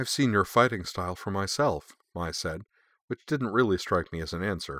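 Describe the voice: Against a quiet background, someone does plain reading aloud with lively intonation.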